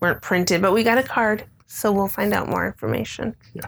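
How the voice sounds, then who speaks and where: With an American accent, a woman speaks in an unremarkable speaking voice at medium pitch and a moderate pace, with ordinary pitch variation. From Illinois, Chicago area. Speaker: podcast co-host. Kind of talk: casual chat.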